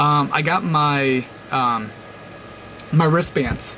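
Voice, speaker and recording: A fairly high-pitched man's voice over noticeable background noise. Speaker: video blogger. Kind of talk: casual vlog monologue. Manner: fast; hesitant, many fillers.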